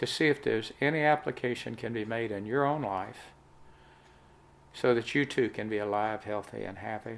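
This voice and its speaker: Someone with a Southern US accent talks at a moderate pace, pitch varying in an ordinary way. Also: man. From US South. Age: 70s. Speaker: health testimony vlogger. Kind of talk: testimony.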